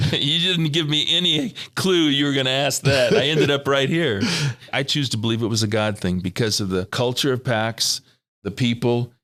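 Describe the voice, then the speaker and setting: The voice has a bright, sharp tone and lively intonation. Its pace is moderate. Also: man, medium pitch for a man. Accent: American. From California. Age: 60s. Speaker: financial planning mentor. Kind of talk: interview.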